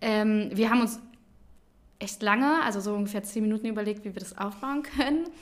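A woman with an unremarkable speaking voice talks at a fairly quick pace, with fairly high pitch and lively intonation. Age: 20s. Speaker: daycare centre manager. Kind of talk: casual chat.

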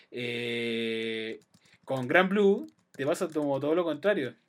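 A man with a Chilean accent speaks at medium pitch and a fairly slow pace. His intonation is lively. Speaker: podcast host. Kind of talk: casual chat.

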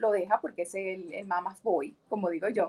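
Speaking at a fairly quick pace, a woman has an unremarkable speaking voice with a medium pitch and ordinary pitch variation. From Venezuela, Maracaibo (Zulia). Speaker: entrepreneur and English teacher. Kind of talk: casual interview.

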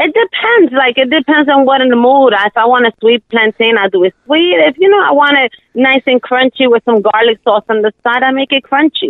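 A woman with a New York accent speaks high and fairly quickly, her intonation lively, her loudness very even, and hardly any pauses. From US Northeast, Brooklyn, New York. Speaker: home cook and small food business owner. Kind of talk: casual interview. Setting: phone call. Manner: shy.

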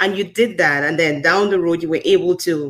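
An ordinary speaking voice from a woman, fairly low in pitch, at a moderate pace. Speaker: podcast host. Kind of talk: casual interview, podcast host. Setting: live-streamed show, online.

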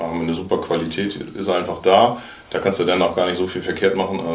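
A man talks at a fairly quick pace in a monotone, flat delivery. Noticeable background noise and audible room echo fill the recording. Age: 40s. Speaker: football coach. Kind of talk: casual chat.

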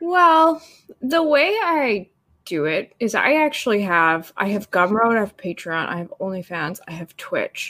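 A woman speaks at a fairly slow pace with a Canadian accent, her tone bright and sharp. Her fairly high pitch swings very widely. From Canada. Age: 30s. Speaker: cosplayer and digital artist. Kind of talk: casual chat.

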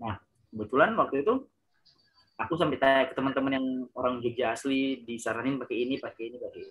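A man rattles along at a very fast pace and a medium pitch, with ordinary pitch variation and big swings in loudness. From Ambon, Maluku, Indonesia. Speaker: award-winning university student. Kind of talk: casual interview.

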